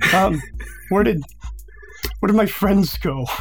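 A gruff put-on character voice with clear music in the background

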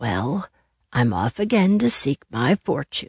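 A woman puts on a raspy character voice at a very deep, low pitch. She goes at a fairly slow pace, with very wide pitch swings. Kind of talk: bedtime story. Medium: read story.

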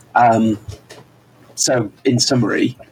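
Noticeable background noise fills the recording. A man is talking through it. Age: 40s. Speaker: podcast co-host. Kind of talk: casual chat. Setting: remote over the internet. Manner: animated.

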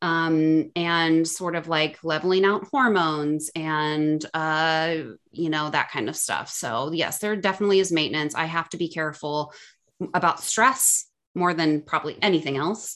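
A woman with a Midwestern American accent, fairly low in pitch, at a moderate pace with ordinary pitch variation, over a quiet background. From US Midwest, Ohio (Cleveland/Akron suburbs). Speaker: health coach. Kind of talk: interview.

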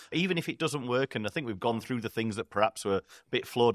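With a northern English accent, a man talks at medium pitch with lively intonation, and the sound is dry and close with no echo. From northern England. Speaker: podcast host. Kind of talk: casual chat.

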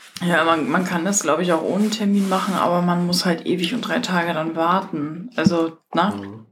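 A woman at a fairly low pitch and moderate pace, with ordinary pitch variation and hardly any pauses. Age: 40s. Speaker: podcast host. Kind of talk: casual chat. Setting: at home. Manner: animated.

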